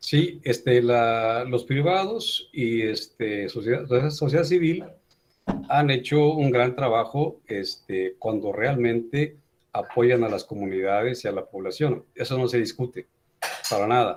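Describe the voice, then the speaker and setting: A man speaks at a very slow pace, his medium pitch moving with ordinary variation. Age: 60s. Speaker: teacher. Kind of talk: online class discussion. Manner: animated.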